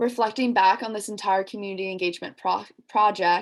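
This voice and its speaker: In a plain, everyday voice, a woman speaks at a fairly quick pace and medium pitch. Her intonation stays fairly even over a quiet background. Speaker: student athlete. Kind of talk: presentation.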